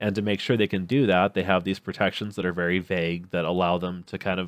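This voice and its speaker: Against a silent background in a very clean recording, a man talks with very deep, low pitch and fairly even intonation. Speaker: podcast co-host. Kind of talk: casual chat.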